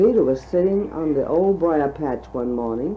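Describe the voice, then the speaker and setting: A woman with a Western Virginia accent speaks at a fairly slow pace. Her very deep, low pitch moves in very wide swings. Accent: Western Virginia Southern American. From Virginia, USA. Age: 60s. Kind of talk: storybook reading aloud.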